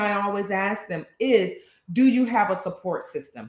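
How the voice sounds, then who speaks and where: A woman speaks in an animated tone at a moderate pace. Her voice is somewhat breathy. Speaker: podcast co-host, social worker. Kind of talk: casual chat. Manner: halting.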